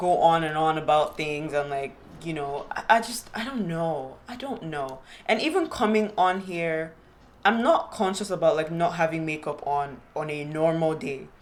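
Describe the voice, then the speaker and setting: A woman with a fairly low pitch and lively intonation speaks in a room with audible echo and noticeable background noise. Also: moderate pace, big swings in loudness. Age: 20s. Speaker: podcast host. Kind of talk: casual solo podcast monologue. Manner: halting, repeated fillers.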